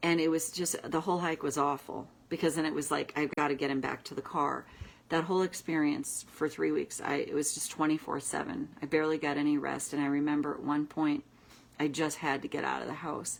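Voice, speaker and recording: With vocal fry and a very deep, low pitch, a woman talks at a fairly quick pace. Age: 60s. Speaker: tapping coach. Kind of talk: casual talk to camera. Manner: animated.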